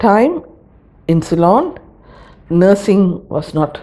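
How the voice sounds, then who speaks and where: A woman talks at a very slow pace. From Sri Lanka. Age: 70s. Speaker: migrant interviewee. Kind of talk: documentary interview. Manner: hesitant with fillers.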